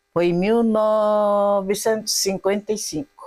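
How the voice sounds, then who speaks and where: A woman talks at medium pitch with monotone, flat intonation. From Japan (Okinawa region). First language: Japanese (speaking Portuguese). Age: 80s+. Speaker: elderly immigrant, taiko group supporter. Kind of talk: interview, casual chat.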